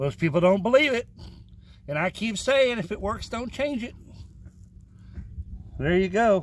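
Intonation is lively while the pace stays fairly slow. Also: man, high pitch for a man.

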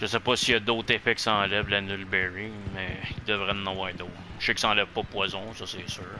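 The delivery is fairly quick, with monotone, flat intonation. Noticeable background noise sits behind it. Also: man, fairly low pitch for a man. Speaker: gaming streamer. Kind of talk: casual gameplay chat.

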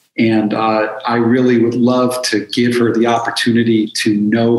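Audible room echo surrounds speech at a fairly slow pace in monotone, flat intonation. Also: man. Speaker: addiction counselor and author. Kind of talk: casual interview. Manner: calm and direct. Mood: warm, reflective. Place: home room.

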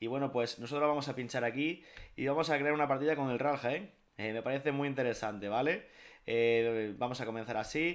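The man's pitch moves in an ordinary way. He talks at a fairly quick pace. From Spain, Jaén (Andalusia). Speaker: gaming YouTuber. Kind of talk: video game tutorial. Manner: casual, with many fillers. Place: home room.

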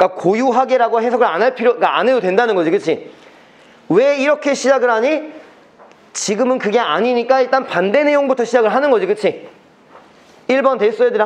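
A man with an extremely high pitch talks at a very fast pace, broken by long, frequent pauses, with ordinary pitch variation and very even loudness. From South Korea. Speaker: academy English teacher; high school English teacher. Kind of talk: lecture. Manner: casual, conversational. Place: classroom.

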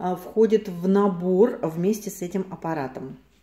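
Audible room echo follows a woman as she speaks. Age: 50s. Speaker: cosmetics consultant. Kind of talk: product review to camera. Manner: casual, chatty. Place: home room. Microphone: phone near.

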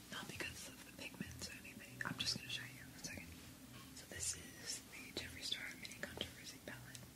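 The speaker is a woman. She whispers at a fairly quick pace. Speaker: ASMR creator. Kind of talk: ASMR whisper ramble; casual talk to camera. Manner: whispered. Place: home room.

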